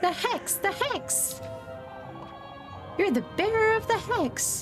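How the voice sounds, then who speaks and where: Over clear music in the background, a put-on character voice speaks at a fairly slow pace in an extremely high pitch. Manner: ominous, repetitive.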